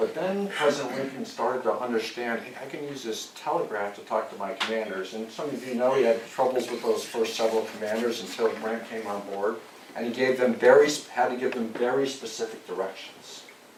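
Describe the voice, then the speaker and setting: With an American accent, a man speaks at a medium pitch and fairly quick pace, with ordinary pitch variation and big swings in loudness, amid audible room echo and noticeable background noise. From US West Coast, Santa Cruz County, California. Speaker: army general. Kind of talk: lecture. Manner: soft-spoken.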